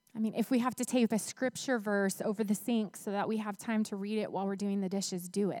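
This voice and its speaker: A woman speaks at a moderate pace and medium pitch, her dark, mellow tone and fairly even intonation captured in a dry, close sound with no echo on a very clean recording with a silent background. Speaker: preacher. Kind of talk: sermon. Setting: church.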